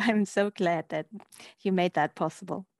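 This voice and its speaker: With a plain, everyday voice, a woman speaks at a medium pitch and moderate pace with ordinary pitch variation, in a dry, close sound with no echo and a quiet background. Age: 50s. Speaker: historian and author. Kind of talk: interview.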